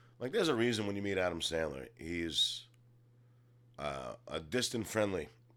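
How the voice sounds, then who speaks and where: This man has a fairly low pitch with vocal fry and lively intonation. He moves at a moderate pace, with long, frequent pauses. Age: 40s. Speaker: comedian and actor. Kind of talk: casual chat.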